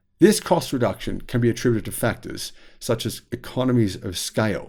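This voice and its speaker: A man talks at a moderate pace with an Australian accent. His tone is dark and mellow. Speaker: YouTube commentator on electric vehicles. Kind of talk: casual monologue video commentary.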